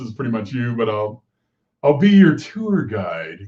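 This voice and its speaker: Somewhat breathy, a man of medium pitch speaks at a moderate pace with lively intonation. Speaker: interview show host. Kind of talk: casual interview chat.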